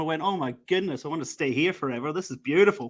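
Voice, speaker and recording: On a very clean recording with a silent background, a man speaks very fast in a bright, sharp tone with lively intonation. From Scotland, Glasgow. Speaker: recruitment manager. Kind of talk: casual podcast interview.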